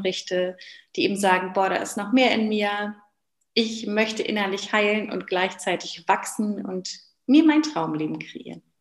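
A woman's normal speaking voice at medium pitch and moderate pace. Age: 30s. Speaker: business coach and former physiotherapist. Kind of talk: interview.

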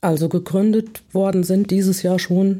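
A woman's dark, mellow tone at a moderate pace on a very clean recording with a silent background. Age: 60s. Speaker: self-help contact point coordinator. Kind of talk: interview. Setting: studio.

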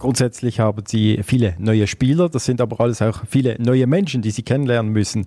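A dark, mellow tone with very even loudness and ordinary pitch variation. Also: man, medium pitch for a man, fairly quick pace, hardly any pauses. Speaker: podcast host, sports journalist. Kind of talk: interview.

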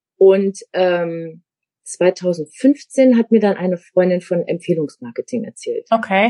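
Dark and mellow in tone, a woman speaks at a medium pitch with ordinary pitch variation and a very slow pace. The sound is dry and close, without echo. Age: 50s. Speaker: media designer turned network marketer. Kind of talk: interview.

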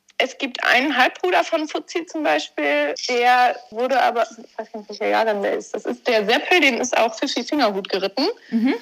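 At a moderate pace, a woman speaks with a high pitch and very wide pitch swings. She leaves hardly any pauses. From Germany, Warendorf (Westphalia). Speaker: amateur eventing rider. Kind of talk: interview.

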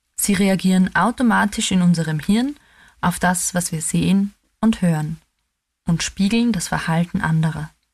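A woman is speaking. Her voice is somewhat breathy, with ordinary pitch variation. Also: medium pitch for a woman, moderate pace. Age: 30s. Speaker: theologian. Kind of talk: scripted reflection.

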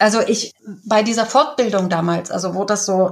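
A woman with a normal speaking voice talks at a moderate pace with ordinary pitch variation. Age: 60s. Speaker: communication trainer. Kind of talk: interview.

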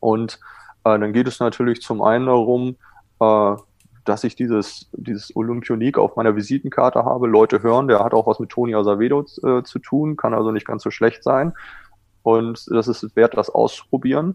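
Delivery proceeds at a moderate pace. Pitch moves in a fairly even line. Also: man, medium pitch for a man. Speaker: water polo goalkeeping coach, former national team goalkeeper. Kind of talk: casual interview.

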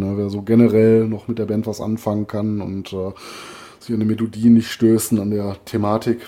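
A man with a fairly low pitch speaks at a moderate pace over noticeable background noise. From Ruhr area, Germany. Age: 40s. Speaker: metal podcast co-host. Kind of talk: casual chat. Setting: remote recording over headphones.

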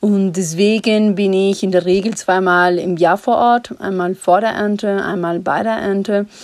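At a fairly slow pace, a woman with a Spanish accent speaks at a medium pitch with fairly even intonation. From Ecuador. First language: Spanish (speaking German). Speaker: coffee importer and company co-founder. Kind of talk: voice message. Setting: recorded remotely in Ecuador.

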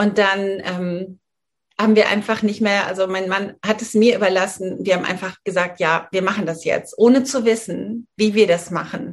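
A woman's medium-pitched voice, an unremarkable speaking voice, keeps fairly even intonation at a moderate speed. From Germany, rural northern Hesse. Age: 40s. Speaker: menopause coach and yoga teacher. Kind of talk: interview.

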